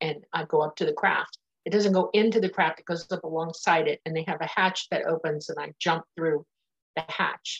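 A woman with fairly low pitch talks somewhat breathy at a moderate pace with fairly even intonation, in a dry, close sound with no echo. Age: 60s. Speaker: nurse and claimed alien contactee. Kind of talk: interview.

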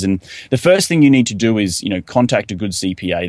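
Talking at a very fast pace, a man with an Australian accent shows ordinary pitch variation. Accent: thick Australian. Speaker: real estate investor. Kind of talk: podcast interview.

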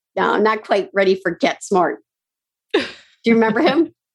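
A woman's animated voice at a fairly quick pace. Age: 50s. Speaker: podcast host and productivity coach. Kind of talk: casual interview chat. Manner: fast talker; animated, excitable.

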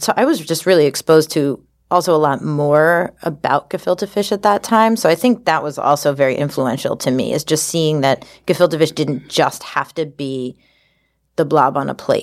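Recorded very cleanly against a silent background, a woman with an American accent speaks in a very deep, low voice with ordinary pitch variation. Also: moderate pace. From Long Island, New York. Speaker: food entrepreneur. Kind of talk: live storytelling; casual interview. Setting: stage with audience.

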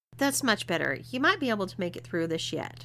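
A woman does a put-on character voice at medium pitch, with a bright, sharp tone, vocal fry, big pitch swings and a fairly quick pace.

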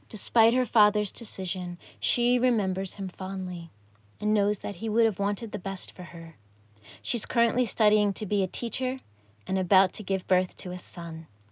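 Speaking in an ordinary speaking voice, a woman keeps a moderate pace, medium pitch and fairly even intonation. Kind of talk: poetry reading (erasure poem).

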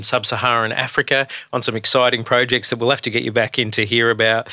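A man's bright, sharp, medium-pitched voice with an Australian accent at a fairly quick pace. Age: 40s. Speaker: pastor and podcast host. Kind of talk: casual chat.

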